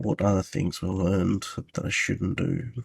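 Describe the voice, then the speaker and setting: The voice belongs to a man. There is some breathiness to it. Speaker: video game level designer. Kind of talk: tutorial. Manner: soft-spoken; halting.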